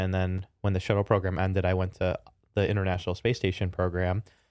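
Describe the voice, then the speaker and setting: With a Chicago accent, a man speaks at a fairly quick pace in a very deep, low pitch and a monotone, flat intonation, on a very clean recording with a silent background. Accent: Chicago American. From Chicago, US Midwest. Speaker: tech startup founder and CEO, former NASA engineer. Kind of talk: casual interview.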